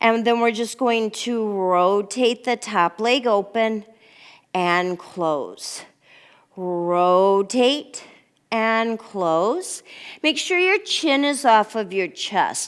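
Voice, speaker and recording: The tone is calm, while the intonation stays lively. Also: woman. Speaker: pilates instructor. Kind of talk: guided exercise class. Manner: calm, instructive counting.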